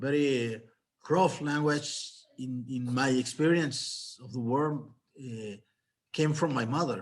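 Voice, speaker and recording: A man with a Mexican accent talks at a very slow pace. He takes long, frequent pauses, and his loudness swings widely. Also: medium pitch for a man, ordinary pitch variation. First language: Spanish. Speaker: novelist. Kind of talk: panel discussion. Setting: video call. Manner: halting.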